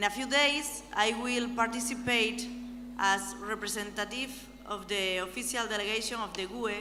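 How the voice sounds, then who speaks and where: There is audible room echo as a woman speaks at a moderate pace with a fairly high pitch and fairly even intonation. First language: not English. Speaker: European Parliament member. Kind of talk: conference speech. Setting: conference hall with audience.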